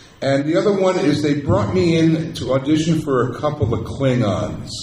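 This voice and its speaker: A man with lively intonation at a moderate pace, amid noticeable background noise and audible room echo. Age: 60s. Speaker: actor. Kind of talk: convention panel Q&A. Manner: animated.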